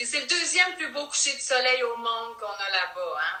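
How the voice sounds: A woman with a Quebec accent speaks at a fairly high pitch in a bright, sharp tone, making big pitch swings amid audible room echo. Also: moderate pace.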